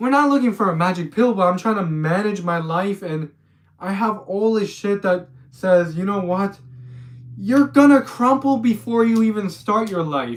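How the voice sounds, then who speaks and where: A man talks with lively intonation at a moderate pace. His pitch is high. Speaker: vlogger with brain injury. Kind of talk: personal video diary. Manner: halting.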